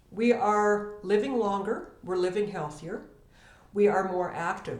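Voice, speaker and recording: With audible room echo, a woman speaks at a fairly slow pace in a medium pitch. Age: 60s. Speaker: estate planning professional. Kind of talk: educational talk to camera.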